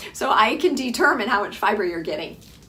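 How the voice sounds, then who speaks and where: A woman uses a raised, projected voice. Audible room echo follows her words. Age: 60s. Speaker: physician running a health program. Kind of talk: informal health lecture to program members. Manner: casual, chatty with frequent fillers.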